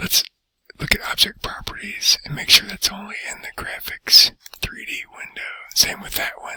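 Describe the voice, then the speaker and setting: A man whispers at a moderate pace. His loudness swings widely, and the sound is dry and close with no echo. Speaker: teacher. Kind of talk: tutorial. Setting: library. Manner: soft-spoken.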